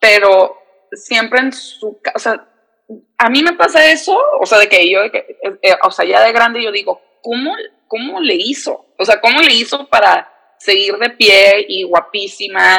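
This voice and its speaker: Fairly slow, lively intonation from a woman with a fairly high pitch. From San Diego, US-Mexico border. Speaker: reporter and TV presenter. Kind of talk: casual interview chat.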